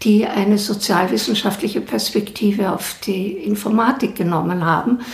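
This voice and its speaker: Over noticeable background noise and audible room echo, a woman talks at a fairly slow pace, her medium pitch showing ordinary variation. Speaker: professor. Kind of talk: interview.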